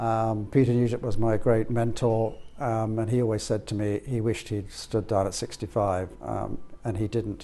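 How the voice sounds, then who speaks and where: A man's medium-pitched voice, dark and mellow in tone, monotone and flat in intonation, at a moderate pace. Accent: Irish. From Ireland. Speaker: auctioneer. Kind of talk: interview. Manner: hesitant.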